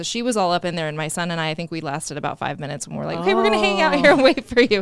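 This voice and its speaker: Over noticeable background noise, a woman speaks at a very fast pace. Her fairly low voice has lively intonation. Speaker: podcast co-host. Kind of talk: casual podcast conversation.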